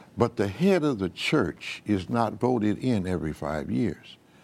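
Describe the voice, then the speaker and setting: Using vocal fry and very wide pitch swings, a man with a fairly low pitch talks at a fairly slow pace. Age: 80s+. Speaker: retired pastor. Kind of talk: interview.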